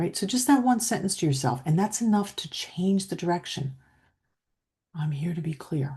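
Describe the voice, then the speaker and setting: A woman with a fairly low pitch and a dark, mellow, somewhat breathy tone speaks at a moderate pace in a calm tone with very wide pitch swings. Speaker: leadership coach. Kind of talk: coaching talk to camera. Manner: calm, steady.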